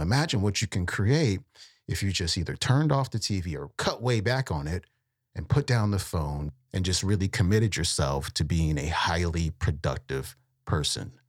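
On a very clean recording with a silent background, a man with a very deep, low pitch and a somewhat breathy voice talks at a moderate pace with very wide pitch swings. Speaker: podcast host. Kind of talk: casual podcast intro and outro. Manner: casual, laid-back.

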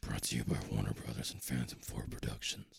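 In a put-on character voice, a man speaks fairly quickly with a raspy, very deep, low pitch. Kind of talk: ad read.

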